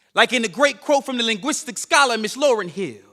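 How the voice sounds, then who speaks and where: A man's raised, projected voice at an extremely high pitch, bright and sharp in tone, with lively intonation. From Chicago South Side. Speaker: spoken word poet. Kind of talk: spoken word performance. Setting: stage with audience. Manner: rhythmic, emphatic.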